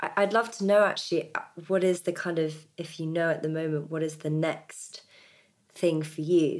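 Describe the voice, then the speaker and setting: A woman with a British accent talks at a moderate pace. Her pitch is fairly low and her intonation fairly even. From Britain. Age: 30s. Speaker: podcast host. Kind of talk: scripted intro; interview conversation.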